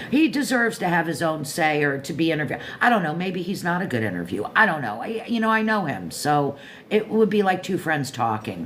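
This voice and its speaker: With an American accent, a woman talks at a fairly low pitch with very wide pitch swings and hardly any pauses. Audible room echo surrounds her voice. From Florida, Pompano Beach area. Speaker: live stream host. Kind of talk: casual chat. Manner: rambling, halting.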